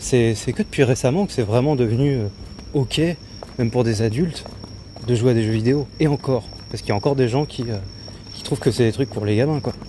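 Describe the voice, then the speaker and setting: A man talks at a fairly quick pace with a medium pitch, ordinary pitch variation, and long, frequent pauses over noticeable background noise. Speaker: streamer. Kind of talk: casual chat. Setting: outdoors. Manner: hesitant, many filler sounds.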